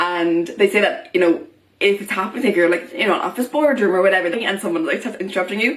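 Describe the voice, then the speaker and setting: With an Irish accent, a woman talks very fast at a medium pitch, her tone animated against noticeable background noise. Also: lively intonation. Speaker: vlogger. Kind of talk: vlog monologue.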